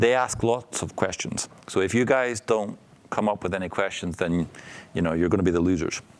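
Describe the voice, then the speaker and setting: With a Northern Irish accent, a man talks at a fairly quick pace and a fairly low pitch, his pitch varying in an ordinary way. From Northern Ireland. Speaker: entrepreneur and startup coach. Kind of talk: talk to startup students. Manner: casual, with many fillers.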